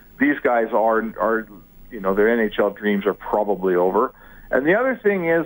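A man with lively intonation delivers his words at a moderate pace in a normal speaking voice. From Edmonton, Canada. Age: 50s. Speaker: sports journalist. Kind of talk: radio interview.

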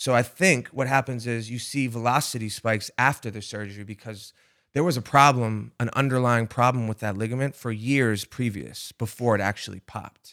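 A man with an American accent talks at a fairly quick pace and medium pitch, with hardly any pauses. His intonation is fairly even, and the recording is very clean with a silent background. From Rhode Island, US. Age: 30s. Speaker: podcast host, former college pitcher.

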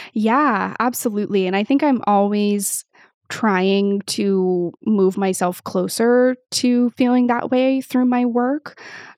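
In an American accent, a woman speaks at a very slow pace with a fairly high pitch. Her pitch variation is ordinary and the background is quiet. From US Pacific Northwest. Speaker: creator partnerships manager, former professional musician. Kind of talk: interview conversation.

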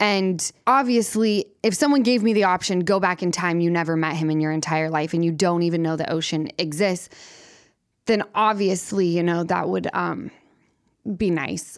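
In a plain, everyday voice with an American accent, a woman speaks at a moderate pace, her fairly low pitch showing ordinary variation, on a very clean recording with a silent background. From Salt Lake City, Utah. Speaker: reality TV personality guest. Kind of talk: casual podcast conversation.

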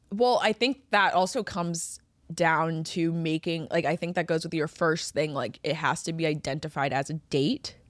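Pitch varies in an ordinary way in a plain, everyday voice. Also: woman, fairly low pitch for a woman, moderate pace, very clean recording, silent background. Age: 30s. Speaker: podcast co-host. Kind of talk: casual chat.

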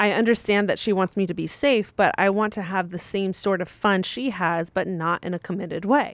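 A plain, everyday voice from a woman at medium pitch and a moderate pace, with ordinary pitch variation, on a very clean recording with a silent background. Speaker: advice podcast co-host. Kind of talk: casual chat.

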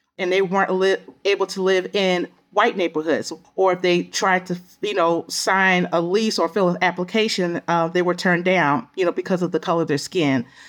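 With an American accent and an unremarkable speaking voice, a woman talks at a moderate pace in a medium pitch, her loudness very even and her intonation fairly even. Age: 50s. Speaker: historian. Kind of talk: interview.

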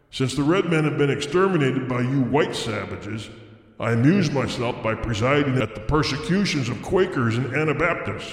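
A man does a put-on character voice, gruff, hoarse and growling, at medium pitch and moderate pace with a clear echo. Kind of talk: classic story reading. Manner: menacing, gloating, sardonic.

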